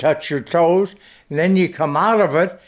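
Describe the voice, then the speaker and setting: In an American accent, a man talks at a high pitch. His pitch variation is ordinary. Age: 80s+. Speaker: war veteran. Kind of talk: interview answer.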